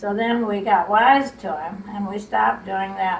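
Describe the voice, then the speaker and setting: With a Midwestern American accent, a woman speaks at a medium pitch over noticeable background noise. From Illinois, USA. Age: 80s+. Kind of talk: interview answer, family reminiscence.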